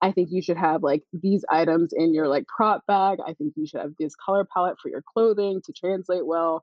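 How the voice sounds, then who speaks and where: A woman with a normal speaking voice talks at a moderate pace, barely pausing. Her pitch is medium, with ordinary variation. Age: 30s. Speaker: wedding and branding photographer. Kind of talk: casual chat.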